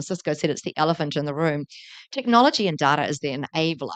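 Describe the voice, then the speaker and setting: A woman with a New Zealand accent speaks very fast in a very deep, low voice, with ordinary pitch variation. The sound is dry and close with no echo, over a quiet background. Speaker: tech entrepreneur, company founder. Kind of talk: conference panel talk. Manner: animated.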